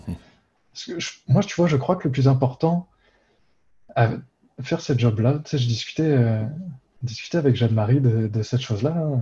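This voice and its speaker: Somewhat breathy, a man speaks at a medium pitch and a fairly slow pace. His tone is dark and mellow, with ordinary pitch variation. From Réunion. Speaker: university professor. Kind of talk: casual interview.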